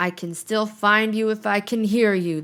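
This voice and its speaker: A woman shouts in a put-on character voice, raised and projected. Her pitch is medium and her pace moderate. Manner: shouting, menacing.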